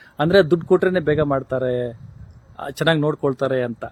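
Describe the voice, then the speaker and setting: This is an unremarkable speaking voice, belonging to a man with a fairly high pitch. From Karnataka, Chikkaballapur district. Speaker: patient's relative. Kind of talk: public complaint.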